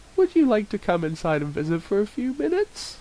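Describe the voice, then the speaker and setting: In a put-on character voice, a man speaks high with very wide pitch swings. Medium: read story. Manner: gentle, polite.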